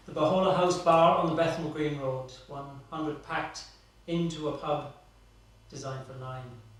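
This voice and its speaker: Fairly slow, fairly high-pitched speech comes from a man. Noticeable background noise is present. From Ireland. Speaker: performance artist. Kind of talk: live stage narration.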